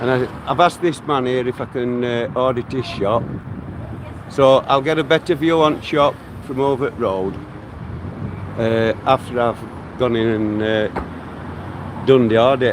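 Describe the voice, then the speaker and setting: Through noticeable background noise, a man speaks at medium pitch and a fairly slow pace with ordinary pitch variation. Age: 60s. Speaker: YouTuber. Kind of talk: vlog walkthrough. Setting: outdoors. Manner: casual, halting.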